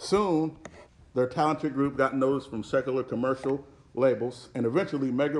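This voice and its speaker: With an American accent, a man talks at a fairly quick pace with ordinary pitch variation. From US. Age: 30s. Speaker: pastor. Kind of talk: sermon. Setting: church. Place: church. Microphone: podium.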